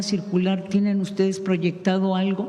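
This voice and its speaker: Noticeable background noise and audible room echo surround a woman's voice. She talks at a fairly slow pace with a medium pitch. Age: 60s. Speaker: radio journalist. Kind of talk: press conference question.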